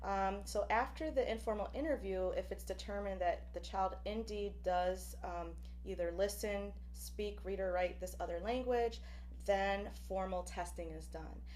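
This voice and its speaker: Fairly slow speech from a woman, noticeable background noise and audible room echo around her. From Buffalo, New York, with time in Puerto Rico. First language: Spanish. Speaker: professor. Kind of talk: lecture. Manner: frequent fillers (um, uh).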